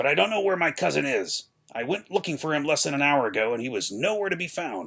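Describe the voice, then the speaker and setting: A man's put-on character voice, fairly high-pitched, raspy and strained, at a very fast pace with very wide pitch swings. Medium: read story. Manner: deferential, strained.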